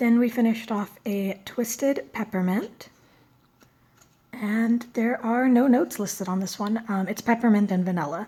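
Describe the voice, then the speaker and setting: The voice is somewhat breathy with a dark, mellow tone, moving at a moderate pace with ordinary pitch variation. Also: woman. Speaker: beauty and fragrance vlogger. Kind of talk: product review vlog. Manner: casual, with frequent fillers.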